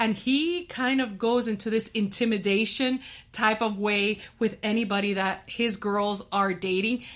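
A woman with a normal speaking voice, a fairly high pitch and ordinary pitch variation, at a fairly slow pace with very even loudness. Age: 50s. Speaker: podcast co-host. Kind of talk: casual chat.

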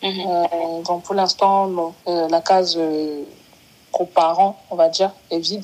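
With hardly any pauses, a woman speaks at a very slow pace in a fairly low pitch and a monotone, flat intonation, against noticeable background noise. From Cameroon. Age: 20s. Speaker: footballer and insurance salesperson. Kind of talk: interview, personal testimony.

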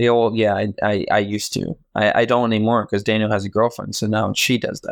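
Speaking at a fairly quick pace, a man with an American accent uses a fairly low pitch and monotone, flat intonation. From Virginia, US. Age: 20s. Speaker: film photographer. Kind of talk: casual chat.

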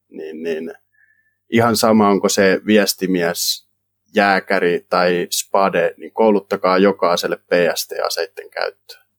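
Speaking at a very slow pace, a man lets his loudness swing widely. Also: dry, close sound with no echo. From Finland, South Ostrobothnia (Kauhava). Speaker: volunteer soldier. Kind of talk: interview. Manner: halting.

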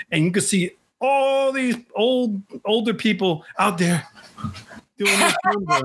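This man talks at a fairly slow pace, pausing long and often. His voice is high, his intonation lively, and his loudness very even. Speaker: podcast host. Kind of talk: casual interview. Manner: chatty, enthusiastic.

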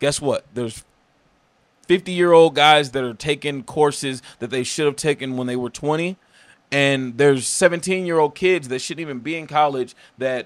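A man talks at a moderate pace with fairly even intonation and a fairly high pitch. It is a plain, everyday voice. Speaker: entrepreneur. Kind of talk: casual chat.

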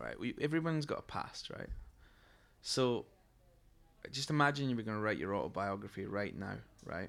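A medium-pitched man with a Scottish accent, fairly quick pace, lively intonation and long, frequent pauses. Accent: Scottish brogue. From Scotland, Fife. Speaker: musician. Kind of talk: casual chat. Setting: stage with audience.

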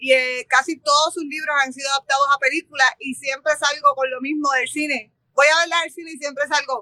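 A woman projects a raised voice with a bright, sharp tone at a high pitch and a fairly quick pace, her intonation monotone and flat while her loudness swings widely, in a dry, close sound with no echo. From Puerto Rico, Barranquitas. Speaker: bookshop owner and literary fair organizer. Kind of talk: interview.

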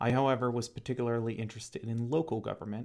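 With a Midwestern American accent, a man of medium pitch talks with ordinary pitch variation on a very clean recording with a silent background. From Ohio, Cincinnati suburbs. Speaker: podcast host, local government economic development director. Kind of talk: solo monologue podcast.

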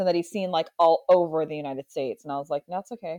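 A woman talks at a very fast pace. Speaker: podcast co-host, author. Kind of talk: casual chat. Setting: remote audio call.

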